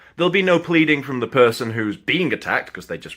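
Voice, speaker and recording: Using a bright, sharp, animated tone, a man talks at a moderate pace with very wide pitch swings and vocal fry. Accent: Sheffield. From northern England, Sheffield. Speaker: film reviewer and actor. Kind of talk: casual film review monologue. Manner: animated, informal.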